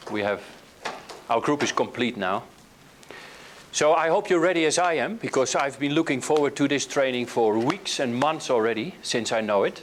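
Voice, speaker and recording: A man with a Dutch accent talks at a moderate pace with lively intonation, leaving long, frequent pauses. Noticeable background noise runs beneath his voice. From Netherlands. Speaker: hypnotherapy trainer. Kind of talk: workshop lecture. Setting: training room with live group. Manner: hesitant with filler words.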